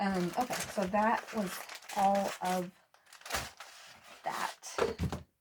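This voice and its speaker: Against noticeable background noise, a woman speaks at medium pitch and a very slow pace with monotone, flat intonation. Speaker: cross-stitch YouTuber and nurse practitioner. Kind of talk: casual vlog chat. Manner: hesitant, many fillers.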